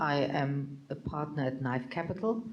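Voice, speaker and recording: A woman with a German accent speaks over noticeable background noise, with audible room echo. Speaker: venture capital partner. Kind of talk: panel discussion. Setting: stage with audience.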